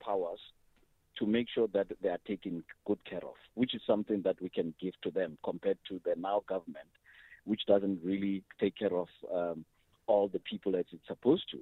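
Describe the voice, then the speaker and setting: A man's unremarkable speaking voice, fairly low in pitch, at a moderate pace. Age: young. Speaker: business owner, radio caller. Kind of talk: call-in comment. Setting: phone call.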